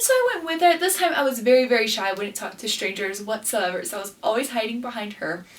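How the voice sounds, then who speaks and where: Over noticeable background noise, a woman talks at a very fast pace with a high pitch. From Guatemala, Quetzaltenango. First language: Spanish. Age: 20s. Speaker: beauty pageant queen and vlogger. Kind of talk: casual vlog talk to camera.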